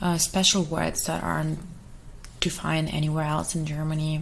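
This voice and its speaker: Monotone, flat delivery at a moderate pace, with audible room echo and noticeable background noise. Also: woman. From Russia. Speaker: ASMR streamer. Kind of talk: casual chat.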